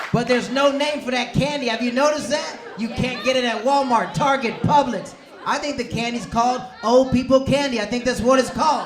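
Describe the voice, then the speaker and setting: Noticeable background noise and audible room echo fill the recording. A man with an extremely high pitch talks at a fairly quick pace, his intonation fairly even. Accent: American. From US South, Tampa, Florida. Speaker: comedian. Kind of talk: stand-up. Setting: stage with audience.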